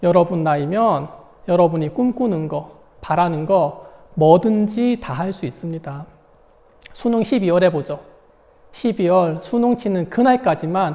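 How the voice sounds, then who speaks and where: A man's high-pitched voice, dark and mellow in tone, with lively intonation, a fairly slow pace and long, frequent pauses. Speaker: high school math teacher. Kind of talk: online lecture.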